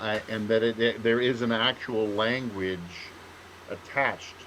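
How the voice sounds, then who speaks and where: At a fairly slow pace, a man talks at medium pitch with fairly even intonation. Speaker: writer, podcast co-host. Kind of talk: casual chat. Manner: halting, many fillers and restarts.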